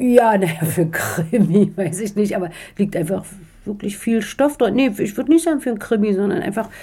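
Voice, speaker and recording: Here is a woman with a slight East Berlin accent and medium pitch. She speaks at a moderate pace with lively intonation. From East Berlin, Germany. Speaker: author. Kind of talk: interview. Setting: in Strasbourg. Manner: hesitant, many fillers.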